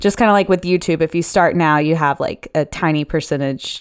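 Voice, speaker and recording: A woman with an unremarkable speaking voice talks at a fairly quick pace, pitched fairly low with ordinary variation. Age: 20s. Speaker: sex worker and podcaster. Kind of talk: casual chat.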